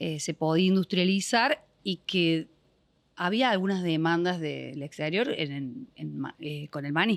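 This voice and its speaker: A woman speaks at a fairly slow pace in a Córdoba accent with lively intonation. The recording is very clean, with a silent background. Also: fairly low pitch for a woman, dry, close sound with no echo. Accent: Córdoba accent, clearly noticeable. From Argentina, Córdoba province (General Cabrera). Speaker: business owner. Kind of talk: podcast interview.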